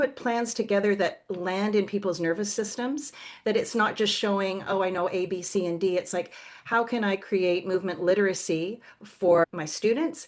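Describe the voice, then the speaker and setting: A woman with a Canadian accent speaks at a moderate pace in an unremarkable speaking voice. Her pitch sits in the middle range and varies in an ordinary way. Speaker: somatic movement educator and yoga teacher. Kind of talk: podcast interview.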